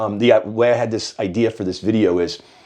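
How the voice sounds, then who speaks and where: Noticeable background noise runs behind a man speaking at a fairly quick pace. His medium-pitched voice keeps fairly even intonation. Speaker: hair loss consultant and channel host. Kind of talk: casual chat. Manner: fast.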